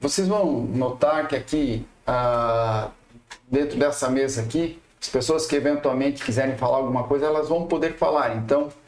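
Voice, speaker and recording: At a moderate pace, a man speaks in a normal speaking voice, fairly high in pitch with ordinary pitch variation. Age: 60s. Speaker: electrical engineer. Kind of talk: panel talk at a professional congress.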